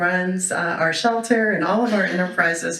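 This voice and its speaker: A woman with a fairly low pitch talks at a moderate pace, her pitch varying in an ordinary way. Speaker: board member and event emcee. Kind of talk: event welcome speech. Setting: stage with audience. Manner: loud; animated.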